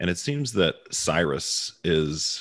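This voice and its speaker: A man speaks in a very deep, low voice with vocal fry. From Baltimore, US. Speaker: podcast host. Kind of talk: casual discussion podcast. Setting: remote recording, hosts in different cities. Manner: joking, casual.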